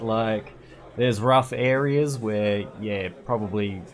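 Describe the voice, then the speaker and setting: With an Australian accent, the speaker goes at a very slow pace with ordinary pitch variation, with audible room echo and noticeable background noise. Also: man. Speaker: gaming streamer. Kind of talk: casual chat. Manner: repetitive, stammering restarts.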